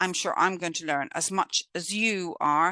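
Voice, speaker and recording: A woman with a British accent speaks at a fairly slow pace, recorded dry and close with no echo against a quiet background. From Britain. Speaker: course instructor. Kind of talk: online lecture. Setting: video call.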